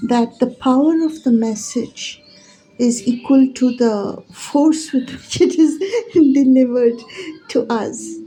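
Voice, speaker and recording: A soft-spoken woman with a high voice and ordinary pitch variation talks over noticeable background noise. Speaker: spiritual teacher. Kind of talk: casual monologue.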